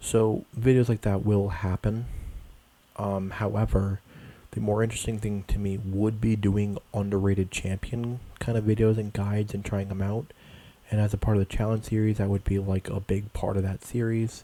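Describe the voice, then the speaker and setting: A quiet, fairly low male voice at a moderate pace, dark and mellow, with monotone, flat intonation. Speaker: gaming YouTuber. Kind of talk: casual gaming commentary. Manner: hesitant, filler-heavy.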